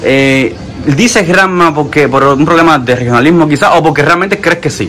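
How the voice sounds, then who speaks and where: Over noticeable background noise, a man speaks with a central Cuban accent at a fairly high pitch. His loudness is very even and his pitch varies in an ordinary way. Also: moderate pace. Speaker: YouTube street interviewer. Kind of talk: street interview questions.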